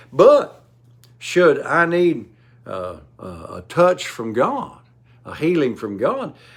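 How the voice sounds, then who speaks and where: Speaking very slowly with long, frequent pauses, a man with an American accent shows big swings in loudness in a room with audible echo. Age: 70s. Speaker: preacher. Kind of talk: sermon.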